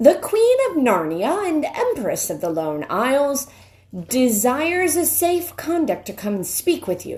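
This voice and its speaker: Pitched high, a woman's put-on character voice moves along at a moderate pace. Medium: read story. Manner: formal.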